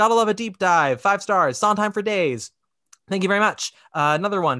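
A man in a raised, projected voice with a high pitch, a bright, sharp tone, lively intonation and a fairly quick pace, against a quiet background. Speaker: podcast host. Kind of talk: casual chat; reading aloud. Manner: loud.

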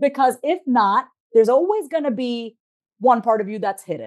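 A woman with an American accent talks at a very fast pace, her pitch swinging very widely. The background is quiet. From US Northeast, Long Island, New York. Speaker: therapist and life coach. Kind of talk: interview. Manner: animated.

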